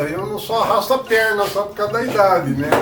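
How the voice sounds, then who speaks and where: A man talks at moderate speed while music plays in the background. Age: 70s. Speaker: artist and teacher. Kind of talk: interview answer. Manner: casual, conversational.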